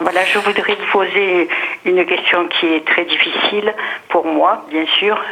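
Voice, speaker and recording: A woman speaks in a flat monotone over noticeable background noise. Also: medium pitch for a woman, very even loudness. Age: 70s. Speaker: caller. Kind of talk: phone call-in question. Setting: phone call. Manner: halting.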